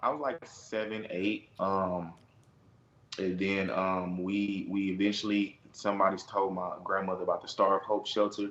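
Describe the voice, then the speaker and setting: The speaker has an American accent and fairly even intonation. The pace is moderate. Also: man, fairly low pitch for a man. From Houston, Texas (north side). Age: 20s. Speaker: reality TV personality. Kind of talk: interview. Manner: hesitant, many fillers.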